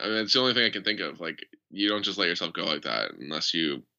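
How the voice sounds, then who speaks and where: Over a quiet background, a man talks at a very fast pace in a bright, sharp tone with vocal fry. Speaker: podcast host. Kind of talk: casual chat. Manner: casual, joking.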